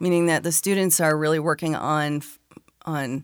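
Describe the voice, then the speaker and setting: A woman speaks in a very deep, low pitch with an American accent. The recording is very clean, with a silent background. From Arizona. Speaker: education innovator. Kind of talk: interview.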